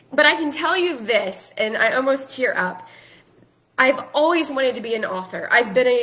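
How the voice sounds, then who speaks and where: Raising and projecting her high-pitched voice, a woman speaks in an animated tone. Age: 40s. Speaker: life coach and author. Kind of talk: casual social media live video.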